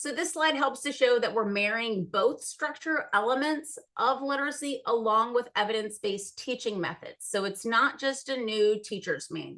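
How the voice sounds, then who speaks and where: A woman with a high pitch speaks with hardly any pauses. Her tone is bright and sharp. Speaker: literacy presenter. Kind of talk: presentation. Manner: fast.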